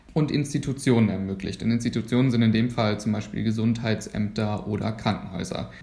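A plain, everyday voice moves at a fairly quick pace with hardly any pauses and fairly even intonation. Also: man, medium pitch for a man. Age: 20s. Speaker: medical student. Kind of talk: podcast interview.

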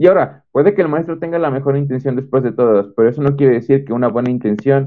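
Very fast speech comes from a man whose medium pitch varies in an ordinary way. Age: 20s. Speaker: engineering student. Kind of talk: testimony.

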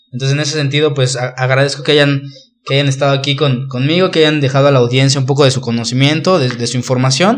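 With audible room echo, a man talks at a very fast pace in a fairly high pitch and fairly even intonation. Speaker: podcast host. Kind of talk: casual interview chat.

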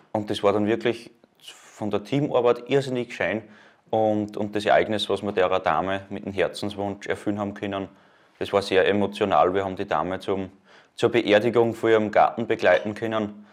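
Fairly low in pitch, a man speaks in an ordinary speaking voice with fairly even intonation at a moderate pace, on a very clean recording with a silent background. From Upper Austria, Mühlviertel. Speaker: Red Cross volunteer and student. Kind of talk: casual interview.

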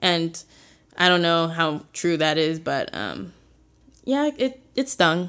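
A woman with an American accent speaks very slowly, with very wide pitch swings and long, frequent pauses. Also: fairly low pitch for a woman. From Chicago area, US Midwest. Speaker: college student. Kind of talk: casual interview, telling her story.

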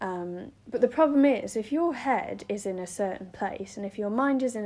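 A woman speaks with a dark, mellow tone and lively intonation in a very clean recording with a silent background. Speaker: podcast host. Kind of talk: solo monologue podcast. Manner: rambling, filler-heavy.

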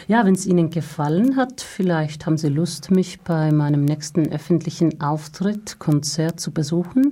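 A woman with a Finnish accent talks with hardly any pauses, her pitch fairly low and its variation ordinary. Noticeable background noise runs underneath. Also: moderate pace. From Finland. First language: Finnish (speaking German). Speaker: singer. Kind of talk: interview. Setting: studio. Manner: halting.

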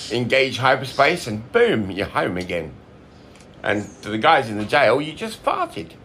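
Bright and sharp in tone, a man's medium-pitched voice shows vocal fry and very wide pitch swings. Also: moderate pace. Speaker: listener participant. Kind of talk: casual chat.

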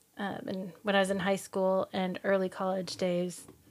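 This is a woman with an American accent at a medium pitch. The recording is very clean, with a silent background. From US Midwest, Kansas City area. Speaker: podcast host. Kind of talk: casual chat.

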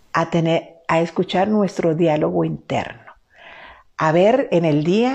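A woman's plain, everyday voice at a fairly slow pace, with ordinary pitch variation. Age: 50s. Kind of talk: faith-based teaching talk. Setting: live stream.

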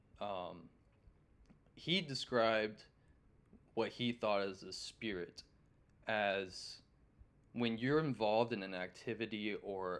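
At a very slow pace, a man with an American accent speaks with a fairly low pitch and fairly even intonation. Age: 20s. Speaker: pawn shop worker. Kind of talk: casual chat. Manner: halting.

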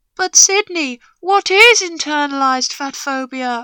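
A woman uses a put-on character voice, high-pitched with lively intonation, at a fairly slow pace. The sound is dry and close, with no echo. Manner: dreamy, lilting.

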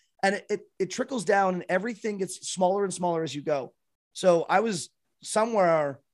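A man with a Canadian accent speaks at a fairly quick pace. His pitch is high, with ordinary variation. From Canada. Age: 30s. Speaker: streamer and former musician. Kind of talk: casual chat.

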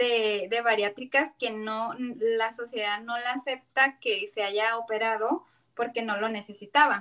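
A woman's bright, sharp voice at a very slow pace. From Mexico, Tijuana. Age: 30s. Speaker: taco business owner, bariatric patient. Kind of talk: casual interview. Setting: remote call.

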